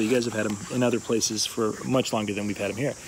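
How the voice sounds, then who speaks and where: A man races through his words at a very fast pace, the sound dry with no echo and light background noise present. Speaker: gear reviewer. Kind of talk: casual product review vlog. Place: garden. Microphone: phone near.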